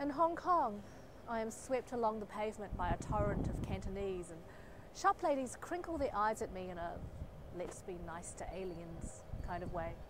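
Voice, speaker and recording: A woman with a New Zealand accent at a moderate pace, with very wide pitch swings and big swings in loudness, in a dry sound with no echo over noticeable background noise. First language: Chinese. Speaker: poet. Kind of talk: poetry performance; spoken word poetry performance. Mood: wry, expressive. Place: street. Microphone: lapel.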